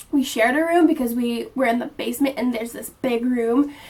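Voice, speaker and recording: A woman talks at a very fast pace in a high voice. Her intonation is fairly even. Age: 20s. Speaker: vlogger. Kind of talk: casual chat.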